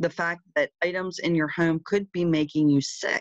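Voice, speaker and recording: At a moderate pace, a woman speaks in an unremarkable speaking voice pitched fairly low, with dry sound, no echo, and a quiet background. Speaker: presenter. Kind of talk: presentation talk over slides. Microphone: video call.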